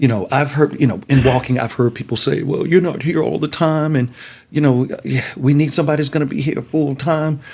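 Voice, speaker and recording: The voice shows vocal fry and ordinary pitch variation. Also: man. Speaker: city council candidate. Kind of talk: casual interview.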